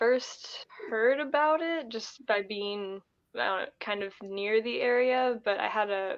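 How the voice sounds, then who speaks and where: A woman with a Midwestern US accent talks at a fairly slow pace, her fairly high pitch showing ordinary variation. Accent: US Midwest. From Ohio. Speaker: thru-hiker. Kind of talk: casual interview.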